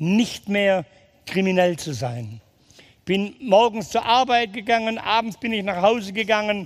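The man's voice sits at a high pitch. He talks at a fairly slow pace. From Swabia, Germany (Ulm area). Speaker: ex-convict evangelist speaker. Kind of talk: testimony. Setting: hall with live audience. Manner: animated.

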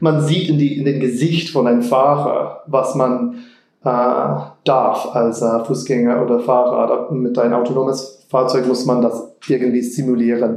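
In an American accent, a man with a medium pitch speaks at a fairly slow pace with fairly even intonation and very even loudness, amid noticeable background noise and audible room echo. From Texas, Austin. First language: English (speaking German). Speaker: car designer. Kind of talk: interview. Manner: halting.

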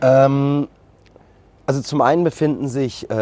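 A man talks in a dark, mellow tone. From Germany, Frankfurt. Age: 40s. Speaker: restaurateur. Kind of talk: interview. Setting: outdoors.

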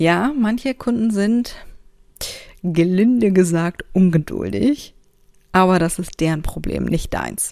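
Using lively intonation and a dark, mellow tone, a woman speaks at a very slow pace with long, frequent pauses. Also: medium pitch for a woman. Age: 30s. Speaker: podcast host, self-employed creative. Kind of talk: casual solo monologue with tips. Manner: animated, colloquial.

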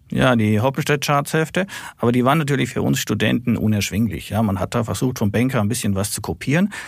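On a very clean recording with a silent background, a man speaks very fast. His intonation is lively, with vocal fry. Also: medium pitch for a man. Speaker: stock market analyst. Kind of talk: casual chat.

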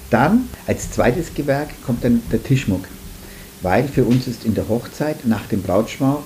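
A man talks at a moderate speed with ordinary pitch variation, noticeable background noise behind him. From Franconia, Nuremberg. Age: 50s. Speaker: florist, flower shop owner. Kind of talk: casual interview.

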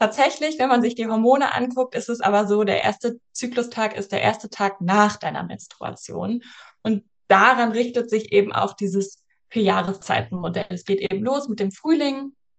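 This woman has a normal speaking voice, pitched fairly high, with ordinary pitch variation and a moderate pace. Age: 30s. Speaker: cycle coach and yoga teacher. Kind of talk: podcast interview.

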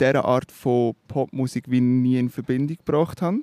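A fairly high-pitched man with a Swiss accent, dry, close sound with no echo. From Switzerland. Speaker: musician, singer-songwriter. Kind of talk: interview. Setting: outdoors by a river. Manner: hesitant, with fillers.

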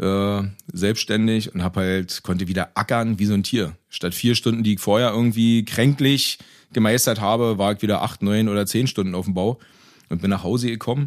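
A man's fairly low voice at a moderate pace, fairly even in intonation, on a very clean recording with a silent background. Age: 30s. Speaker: vegan cook and road construction master. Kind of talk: casual interview. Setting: in person.

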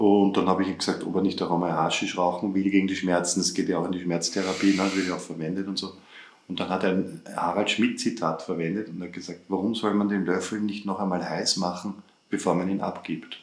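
With a very deep, low pitch and monotone, flat intonation, a man talks at a fairly quick pace. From Upper Austria. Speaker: podcast co-host. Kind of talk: casual chat.

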